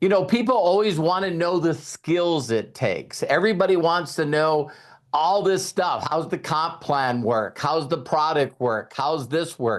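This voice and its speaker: A man speaks at a fairly slow pace in an unremarkable speaking voice, fairly high in pitch with lively intonation. The background is quiet. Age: 60s. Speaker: network marketing leader. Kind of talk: mentorship talk on a group call. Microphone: sound is good.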